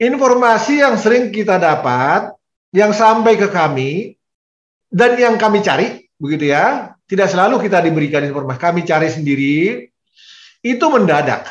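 With audible room echo, a man speaks in a high voice whose pitch swings very widely. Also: moderate pace, quiet background. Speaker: vice rector giving guidance to lecturers. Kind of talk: formal briefing address. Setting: video call. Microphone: video call.

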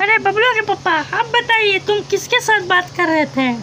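A woman's put-on character voice, extremely high in pitch, over clear background noise. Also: moderate pace. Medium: comedy sketch. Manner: sharp, accusing.

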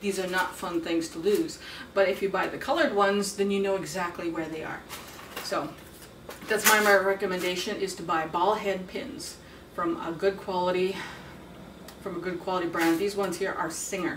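At a moderate pace and medium pitch, a woman speaks with ordinary pitch variation and long, frequent pauses against noticeable background noise. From Saskatchewan, Canada. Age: 40s. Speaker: beadwork and sewing instructor, activist. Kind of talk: tutorial. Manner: casual, halting with fillers.

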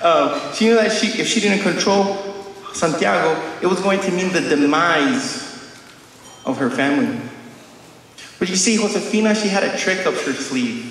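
A man with a high pitch speaks at a moderate pace with lively intonation. He leaves long, frequent pauses, and room echo is audible. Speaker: conference speaker. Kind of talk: conference talk with stand-up style jokes. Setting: conference room with audience and slides. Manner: joking, self-deprecating, playful; jokes with the audience and checks in. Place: hall. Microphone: camera far.

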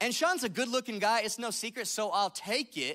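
A man's raised, projected voice at an extremely high pitch, bright and sharp in an animated tone, with lively intonation at a moderate pace over a quiet background. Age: 30s. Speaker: pastor. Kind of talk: sermon. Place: church. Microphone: handheld.

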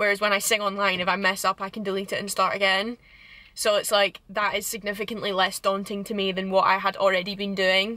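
Against a quiet background, a woman's bright, sharp voice moves at a moderate pace with a dry sound and no echo. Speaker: vlogger. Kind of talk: casual vlog chat. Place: car. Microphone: phone near.

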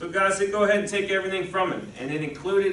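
In audible room echo, a man speaks at a high pitch with fairly even intonation. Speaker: pastor. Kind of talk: sermon. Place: church.

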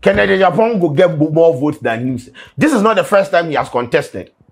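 A man's speech comes with faint music in the background. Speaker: comedic news commentator. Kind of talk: satirical commentary. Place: studio. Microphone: lapel.

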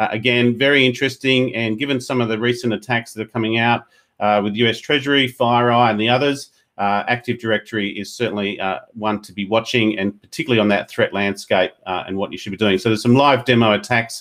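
A man talks at a very fast pace in an Australian accent. His intonation is fairly even, with a quiet background. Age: 40s. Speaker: podcast host. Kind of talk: interview; news reading. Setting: video call. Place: home room. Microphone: earbuds.

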